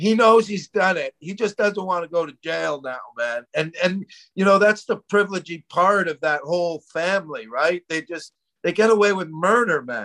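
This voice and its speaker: The voice is raised and projected, with a bright, sharp tone and ordinary pitch variation. It moves at a moderate pace in a dry, close sound with no echo. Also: man. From Canada. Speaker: comedian. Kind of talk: casual chat.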